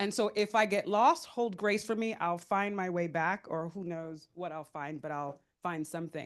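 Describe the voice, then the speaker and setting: Against a quiet background, a woman speaks at a moderate pace and medium pitch with lively intonation. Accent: New York. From US Northeast (New York). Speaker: panelist, philanthropic fund leader. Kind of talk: panel talk. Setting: conference room with audience. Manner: loud.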